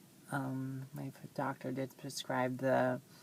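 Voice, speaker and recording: This is a woman talking. Her voice sits very deep and low. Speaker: vlogger. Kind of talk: casual vlog monologue. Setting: in a car. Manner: hesitant, many fillers.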